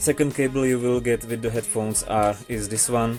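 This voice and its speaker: Music plays behind the voice. A man talks with fairly even intonation. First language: not English. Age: young. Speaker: tech reviewer. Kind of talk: casual product review to camera.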